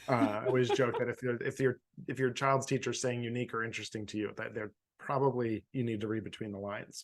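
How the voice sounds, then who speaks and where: Speaking with an American accent, a man goes at a very fast pace. His medium pitch stays in a monotone, flat intonation. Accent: Philadelphia accent, somewhat reduced. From Philadelphia suburbs. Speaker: podcast host, former elementary teacher. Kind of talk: casual chat. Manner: halting, many repeats and fillers.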